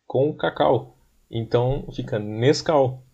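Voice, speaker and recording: Dark and mellow in tone, the voice carries a somewhat breathy quality. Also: man. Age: 20s. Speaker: podcast co-host. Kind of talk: casual chat.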